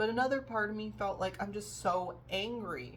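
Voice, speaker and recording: Audible room echo hangs around this woman's voice. She keeps to a moderate pace. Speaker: vlogger. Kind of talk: personal vlog monologue. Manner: halting, many fillers.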